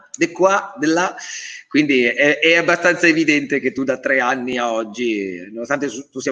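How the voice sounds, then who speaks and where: A man speaks in an animated tone. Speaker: quiz show host. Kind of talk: live quiz show hosting. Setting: live web TV broadcast.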